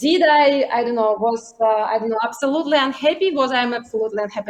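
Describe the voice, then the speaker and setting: Her voice sits high in pitch. This woman speaks with lively intonation. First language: Ukrainian or Russian. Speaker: accelerator founder and CEO. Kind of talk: panel talk, personal story. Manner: halting.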